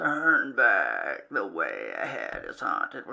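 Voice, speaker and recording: A put-on character voice that talks at a very slow pace. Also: man. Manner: ominous.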